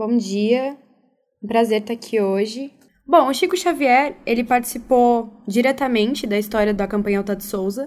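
Here a woman uses an ordinary speaking voice, fairly high in pitch, with ordinary pitch variation at a moderate pace. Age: young. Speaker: youth volunteer coordinator. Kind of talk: radio interview.

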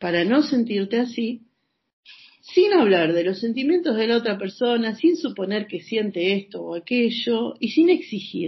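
A woman talks at a fairly high pitch and a fairly slow pace. Her voice is somewhat breathy, with very wide pitch swings. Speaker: psychological counselor. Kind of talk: interview. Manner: talkative.

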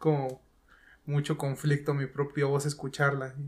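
A man speaks with a Mexican accent, fairly high in pitch and somewhat breathy. His pace is fairly slow, and the recording is very clean with a silent background. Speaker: gamer and content creator. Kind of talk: casual chat.

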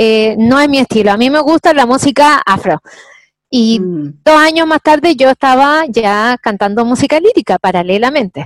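A woman's high voice with a Chilean accent, very wide pitch swings and a moderate pace, in a dry, close sound with no echo. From Chile, Santiago. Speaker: singer and actress. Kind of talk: interview.

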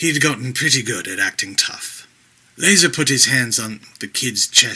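Someone reads aloud in a natural voice, and the pitch varies in an ordinary way.

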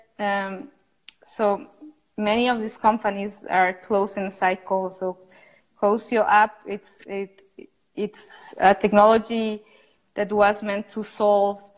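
Speaking very slowly with a Spanish accent, a woman leaves long, frequent pauses. Her medium-pitched voice stays monotone and flat. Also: big swings in loudness. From Costa Rica. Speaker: architect and entrepreneur. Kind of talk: interview.

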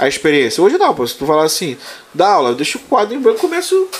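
Noticeable background noise runs under the recording. A man talks at a very fast pace. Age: 30s. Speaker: prison officer and exam-prep teacher. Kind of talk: casual chat.

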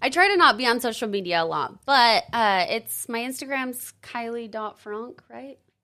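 Bright, sharp tone with lively intonation, big swings in loudness and hardly any pauses, on a very clean recording with a silent background. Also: woman, fairly high pitch for a woman, moderate pace. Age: 30s. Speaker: door-to-door alarm sales rep. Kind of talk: casual interview.

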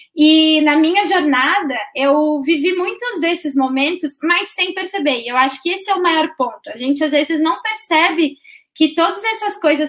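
In a high pitch, a woman speaks at a moderate pace with ordinary pitch variation. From Santa Catarina, southern Brazil (Balneário Camboriú). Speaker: service designer. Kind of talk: interview about her career.

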